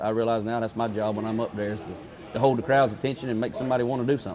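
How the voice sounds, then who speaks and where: A man with a Southern US accent at a medium pitch. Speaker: livestock auctioneer. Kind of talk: interview answer. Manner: casual, halting.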